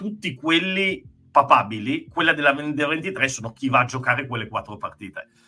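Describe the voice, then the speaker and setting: A man with a normal speaking voice talks at a fairly high pitch. His pace is moderate and his intonation lively. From Treviso, Veneto, Italy. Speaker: podcast co-host. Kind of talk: casual chat. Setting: video call.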